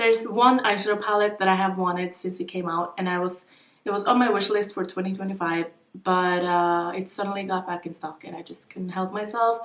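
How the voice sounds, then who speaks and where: A woman talks fairly quickly at a medium pitch, with fairly even intonation. She has a plain, everyday voice whose loudness swings widely. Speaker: beauty vlogger. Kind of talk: casual vlog talk.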